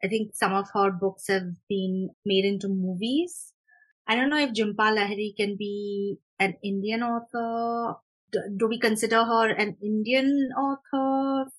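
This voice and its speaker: This woman's voice is somewhat breathy and fairly high in pitch, with ordinary pitch variation. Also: fairly slow pace. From India, Mumbai. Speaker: author. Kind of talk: interview.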